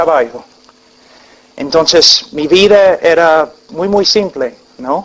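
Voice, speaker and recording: A man speaks at a high pitch. Noticeable background noise can be heard. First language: English (speaking Spanish). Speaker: preacher. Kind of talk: sermon with personal testimony. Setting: church congregation. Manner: halting, with fillers.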